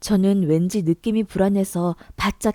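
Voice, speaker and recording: A woman's dark, mellow tone at a medium pitch, dry and close with no echo. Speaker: story narrator. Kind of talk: reader-submitted story narration.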